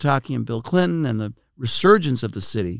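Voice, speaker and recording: Talking at a fairly quick pace, a man uses an ordinary speaking voice at a medium pitch in a very clean recording with a silent background. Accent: American. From Brooklyn, New York. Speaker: think tank president. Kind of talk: interview.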